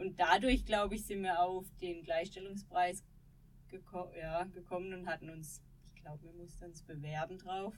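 At a moderate pace, a woman speaks in a normal speaking voice at medium pitch, with fairly even intonation and big swings in loudness. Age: 30s. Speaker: former ski jumper. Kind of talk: interview conversation. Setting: small podcast studio.

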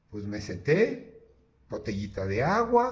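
A man speaks with audible room echo around him. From Mexico. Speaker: architect, podcast host. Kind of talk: casual monologue with anecdotes. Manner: halting, with many repetitions.

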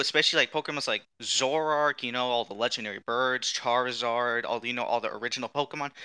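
Against a quiet background, a man with a bright, sharp tone talks at a fairly quick pace in a dry, close sound without echo. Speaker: tabletop game player. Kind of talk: casual tabletop game session.

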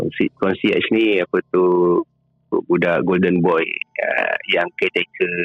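A man talks at a fairly slow pace with long, frequent pauses. His loudness stays very even. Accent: Malaysian. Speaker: caller. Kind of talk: casual storytelling. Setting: phone call. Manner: halting.

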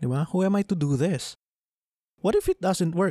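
A man speaks with a Filipino accent. The sound is dry and close, with no echo. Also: very clean recording, silent background. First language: Tagalog. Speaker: podcast host. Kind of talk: solo podcast monologue, Taglish.

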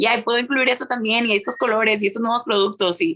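At a very fast pace, a woman speaks with a bright, sharp tone at medium pitch. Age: 20s. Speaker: university student and entrepreneur. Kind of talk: casual interview.

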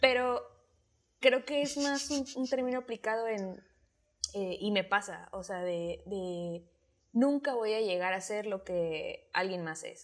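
In a very clean recording with a silent background, a woman uses a normal speaking voice with ordinary pitch variation. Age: 20s. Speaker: podcaster. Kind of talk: casual chat.

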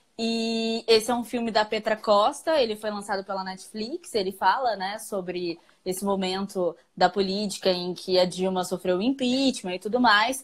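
With a medium pitch and a normal speaking voice, a woman talks at a moderate pace, her pitch varying in an ordinary way and hardly pausing. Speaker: podcast co-host. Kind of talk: casual chat. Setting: live stream on social media.

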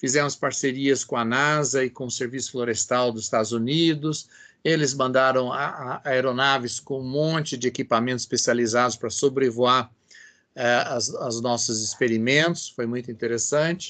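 Over a quiet background, a man with a medium pitch and a bright, sharp tone speaks at a moderate pace with fairly even intonation. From Brazil, São Paulo. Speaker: biology professor. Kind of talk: interview.

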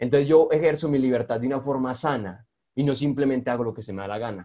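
Moving at a fairly quick pace, a man talks at a medium pitch with a dark, mellow tone and ordinary pitch variation. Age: young. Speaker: podcast host and video creator. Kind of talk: casual interview chat.

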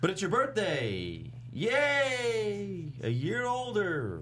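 Doing a put-on character voice, a man speaks at a high pitch with very wide pitch swings. His pace is very slow, and clear background noise is present.

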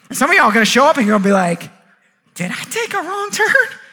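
Raising and projecting his voice, a man speaks fairly quickly at an extremely high pitch with very wide pitch swings. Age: 30s. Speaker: pastor. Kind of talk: sermon. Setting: church. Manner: animated.

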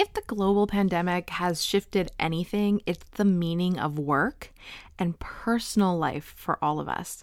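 A normal speaking voice moves at a fairly slow pace with ordinary pitch variation, the sound dry and close with no echo on a very clean recording with a silent background. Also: woman, medium pitch for a woman. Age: 30s. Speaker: business coach podcast host. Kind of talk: solo podcast monologue. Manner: casual, with laughs.

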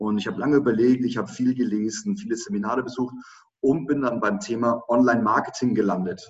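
With lively intonation, a man of medium pitch speaks at a very fast pace. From Germany, Lower Franconia (Schweinfurt). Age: 30s. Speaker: online marketing entrepreneur and speaker. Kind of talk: interview.

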